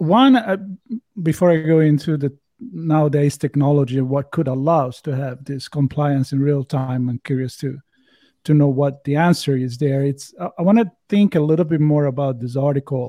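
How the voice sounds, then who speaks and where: A man with an Italian accent talks at a moderate pace in a fairly high pitch, with ordinary pitch variation and a dark, mellow tone. The recording is very clean, with a silent background and a dry, close sound with no echo. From Italy. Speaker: podcast host. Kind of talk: casual chat.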